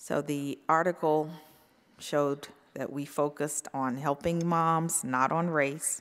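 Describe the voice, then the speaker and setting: A woman with a very deep, low voice speaks at a fairly slow pace in a monotone, flat intonation. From North Carolina. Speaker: physician and professor; professor. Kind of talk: conference talk. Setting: stage with audience. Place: hall. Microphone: podium.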